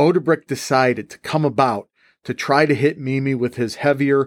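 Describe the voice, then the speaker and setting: In a very clean, silent recording with a dry, close sound and no echo, a man of medium pitch speaks in an animated tone at a moderate pace. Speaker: history podcast host and high school teacher. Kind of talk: history podcast narration, scripted-style storytelling. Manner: animated, brisk battle-story narration; friendly, conversational, teacherly.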